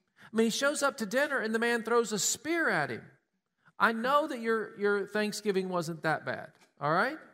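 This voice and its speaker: In a Southern US accent, a man projects a raised, high-pitched voice with a bright, sharp tone and lively intonation at a moderate pace, on a very clean recording with a silent background. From Tennessee. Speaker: pastor. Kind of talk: sermon.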